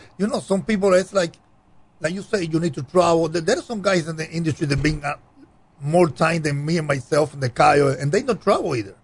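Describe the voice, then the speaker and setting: Speaking with a Cuban accent, a man talks at a fairly quick pace in a high pitch with ordinary pitch variation. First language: Spanish. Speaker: cigar brand owner. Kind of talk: casual interview chat.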